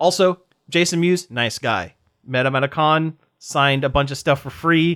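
An unremarkable speaking voice with an American accent moves at a moderate pace and ordinary pitch variation, recorded very clean with a silent background and a dry, close sound with no echo. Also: man, fairly high pitch for a man. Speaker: podcast host. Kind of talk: casual chat.

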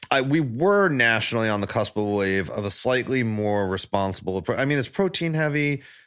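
A man with an unremarkable speaking voice and an American accent talks at a fairly quick pace with hardly any pauses. His intonation is lively. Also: medium pitch for a man. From New York, Staten Island. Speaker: barbecue pitmaster. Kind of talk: casual chat. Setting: in person at host's place.

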